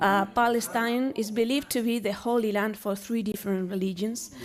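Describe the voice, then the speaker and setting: Speaking at a moderate pace with a Spanish accent, a woman keeps her fairly high voice in fairly even intonation. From Spain. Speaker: university professor. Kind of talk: lecture. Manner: halting.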